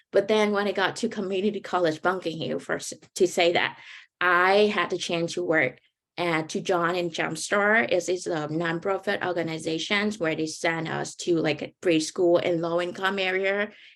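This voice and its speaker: A woman speaks with a Vietnamese accent. Her intonation stays fairly even at a moderate pace. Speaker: graduate student, panelist. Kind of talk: panel talk, personal story. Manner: informal, halting.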